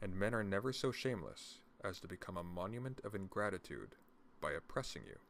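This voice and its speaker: A soft-spoken man talks at a fairly quick pace. His pitch is fairly low, with ordinary pitch variation. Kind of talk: reading of a classic political text.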